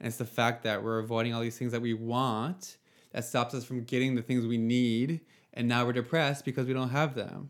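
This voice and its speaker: At a fairly quick pace, a man with a normal speaking voice talks at medium pitch on a very clean recording with a silent background. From Nova Scotia, Canada (Yarmouth area). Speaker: app founder talking about anxiety. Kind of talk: casual chat.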